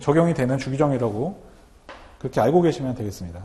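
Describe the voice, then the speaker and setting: A man speaks with very wide pitch swings. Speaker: customs broker instructor. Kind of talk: lecture. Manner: fast.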